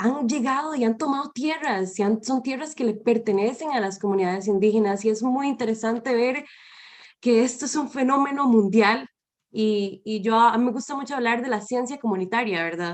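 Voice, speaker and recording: A moderate pace with pitch varying in an ordinary way. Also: woman, fairly high pitch for a woman. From Costa Rica. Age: 20s. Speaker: environmental educator. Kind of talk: panel talk. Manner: halting.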